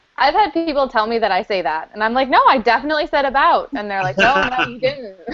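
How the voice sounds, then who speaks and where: A woman with a Canadian accent talks at a very fast pace with a high pitch and very wide pitch swings. Noticeable background noise sits behind her. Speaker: parent vlogger. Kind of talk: casual chat.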